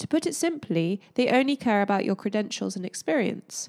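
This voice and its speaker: In a normal speaking voice, a woman talks at a fairly high pitch with lively intonation. The sound is dry and close with no echo, on a very clean recording with a silent background. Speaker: podcast co-host.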